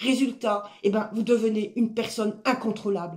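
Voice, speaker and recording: A woman at medium pitch and a fairly slow pace. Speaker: life coach. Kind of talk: motivational talk. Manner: loud.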